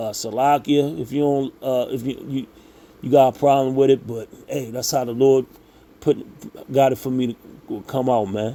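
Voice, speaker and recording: A man at medium pitch and a moderate pace, with fairly even intonation. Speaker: religious commentator. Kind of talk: religious monologue. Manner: halting, stumbling over words.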